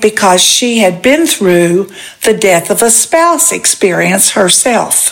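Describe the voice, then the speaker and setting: A woman speaks at a very slow pace with lively intonation. Noticeable background noise runs underneath. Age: 80s+. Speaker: widowed retiree and podcast co-host. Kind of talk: casual chat.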